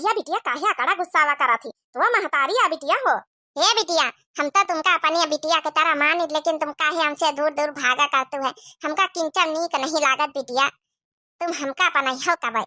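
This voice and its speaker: Using a cartoonish character voice, a woman speaks high-pitched at a moderate pace with ordinary pitch variation, the sound dry and close with no echo. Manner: soft, emotional.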